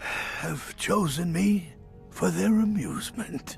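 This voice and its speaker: Against clear music in the background, a man puts on a raspy character voice and speaks at a very slow pace. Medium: game stream. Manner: impatient, wistful.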